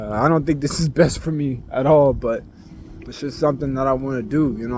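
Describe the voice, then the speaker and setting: There is noticeable background noise behind this recording. A man speaks at a fairly high pitch with ordinary pitch variation. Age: young. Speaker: vlogger. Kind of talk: casual vent monologue. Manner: low energy; rambling, hesitant.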